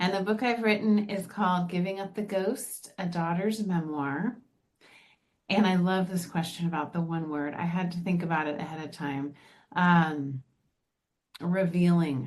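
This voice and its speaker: A woman with an unremarkable speaking voice talks at a moderate pace, her pitch fairly low with ordinary variation. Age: 50s. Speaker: author and TV producer. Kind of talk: podcast interview.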